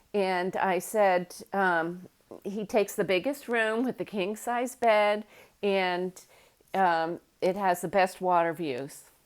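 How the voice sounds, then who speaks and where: A woman speaks at a very slow pace in a medium pitch with ordinary pitch variation. The recording is very clean, with a silent background. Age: 60s. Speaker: real estate landlord and channel host. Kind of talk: casual storytelling monologue. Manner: hesitant, many fillers.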